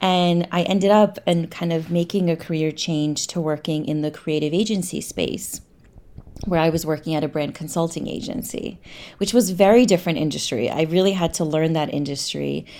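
A woman with an American accent has a plain, everyday voice, fairly low in pitch with ordinary pitch variation. Her moderate pace comes through in a very clean recording with a silent background. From New York. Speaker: lawyer turned marketing director and novelist. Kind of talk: casual interview.

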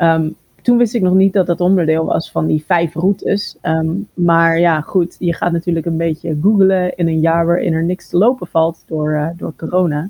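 A woman's fairly low, dark, mellow voice with fairly even intonation, dry and close with no echo. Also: moderate pace. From Netherlands, Haarlem and Amsterdam. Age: 40s. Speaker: ultrarunner. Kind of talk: interview. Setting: remote call.

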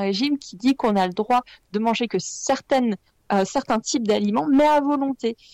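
In an ordinary speaking voice, a woman talks at a moderate pace and fairly high pitch with ordinary pitch variation, recorded dry and close with no echo. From France, Lyon. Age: 30s. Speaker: blogger. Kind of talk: interview.

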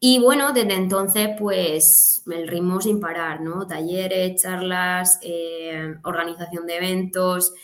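A woman speaks at a very slow pace with hardly any pauses and ordinary pitch variation. Audible room echo and noticeable background noise fill the recording. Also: medium pitch for a woman. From southern Alicante, Spain. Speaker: dietitian-nutritionist. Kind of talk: interview conversation.

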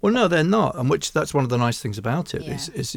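A man talks with a southern English accent. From England, Hertfordshire. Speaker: chiropractor. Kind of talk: interview.

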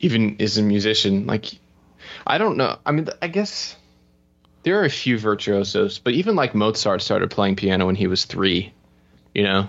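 A man with a fairly low pitch speaks at a moderate pace, with ordinary pitch variation. His loudness stays very even, broken by long, frequent pauses. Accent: American. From Florida, US. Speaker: musician and music business coach. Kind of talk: podcast interview. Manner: animated, casual.

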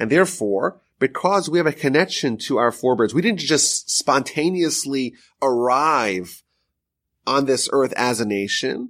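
A plain, everyday voice from a man, fairly high in pitch, with lively intonation at a fairly slow pace, on a very clean recording with a silent background. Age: 30s. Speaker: rabbi teaching weekly Torah portion. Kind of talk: lecture.

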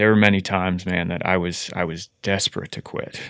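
A man with a very deep, low voice speaks at a moderate pace in a monotone, flat intonation. The recording is very clean, with a silent background. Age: 30s. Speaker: recovering addict, treatment volunteer. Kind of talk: testimony. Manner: halting.

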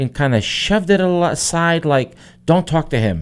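A man with a Portuguese accent, fairly high in pitch, lively in intonation, at a fairly slow pace. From Azores, Terceira. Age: 50s. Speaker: human resources director. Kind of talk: radio interview. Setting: studio.

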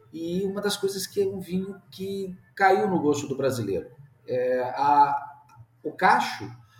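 A man talks with a high pitch. There is noticeable background noise. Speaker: agronomist and winemaker. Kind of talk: interview, casual.

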